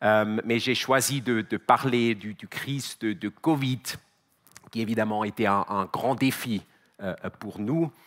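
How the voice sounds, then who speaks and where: The speaker, with a Swiss German accent, talks at a very slow pace with ordinary pitch variation and long, frequent pauses. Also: man, medium pitch for a man. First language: Swiss German (speaking French). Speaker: company CEO, conference speaker. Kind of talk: conference talk. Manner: halting, many repetitions and fillers.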